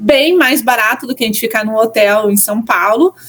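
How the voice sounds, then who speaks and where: A woman speaks at a moderate pace in a southern Brazilian accent with ordinary pitch variation. Noticeable background noise runs underneath. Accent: gaúcho (southern Brazilian). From southern Brazil, Porto Alegre. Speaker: church content creator. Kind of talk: podcast interview. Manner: casual, many fillers.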